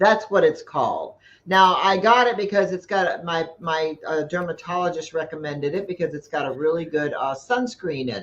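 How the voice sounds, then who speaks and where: This woman has an ordinary speaking voice, fairly low in pitch, at a moderate pace. Her pitch variation is ordinary, while her loudness takes big swings. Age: 60s. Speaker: live stream host. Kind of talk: casual chat. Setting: live stream.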